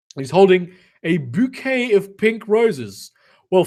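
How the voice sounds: The voice reads naturally while the background stays quiet.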